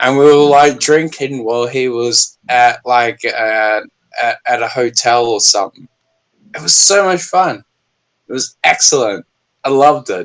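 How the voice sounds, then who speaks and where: In an Australian accent, a man speaks at a fairly slow pace. His pitch is medium, with ordinary pitch variation. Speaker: YouTuber. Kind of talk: casual chat. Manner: animated.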